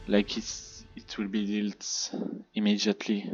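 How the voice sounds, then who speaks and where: A man with a French accent speaks at a fairly slow pace in a fairly low voice, with music playing in the background. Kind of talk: gameplay commentary.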